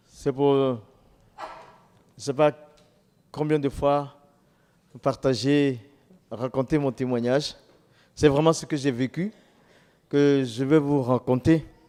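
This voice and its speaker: With long, frequent pauses, a man talks at a very slow pace in a fairly high voice with a dark, mellow tone and fairly even intonation. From Ivory Coast. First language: local Ivorian language (speaking French). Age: 60s. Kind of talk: testimony.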